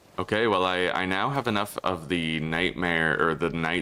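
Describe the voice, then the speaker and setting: Loud and bright, sharp in tone, a man speaks in a very deep, low pitch with ordinary pitch variation. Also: very clean recording, silent background. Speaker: gaming streamer. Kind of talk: livestream gameplay commentary. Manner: animated. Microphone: echo in room.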